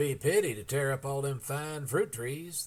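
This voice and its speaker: Drawling at a moderate pace, a man puts on a character voice, fairly high-pitched with ordinary pitch variation and big swings in loudness. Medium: read story. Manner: lazy, drawling.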